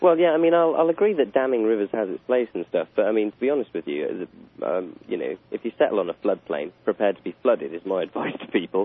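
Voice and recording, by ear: A man speaks fast in a fairly low pitch with lively intonation. The sound is dry and close, with no echo.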